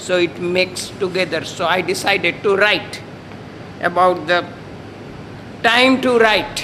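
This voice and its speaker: A man with an Indian accent and a high pitch speaks at a fairly slow pace with fairly even intonation, very even loudness and long, frequent pauses, amid noticeable background noise. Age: 70s. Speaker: amateur poet. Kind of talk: poetry reading.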